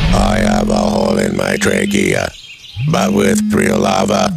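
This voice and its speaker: Over loud background noise, a man does a raspy, robotic put-on character voice at a fairly slow pace. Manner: comedic pretend.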